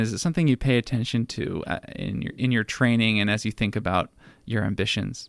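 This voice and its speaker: A man speaks with a plain, everyday voice at a medium pitch. His pitch variation is ordinary, and the recording is very clean, with a silent background. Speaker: radio show host. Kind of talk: radio interview questions.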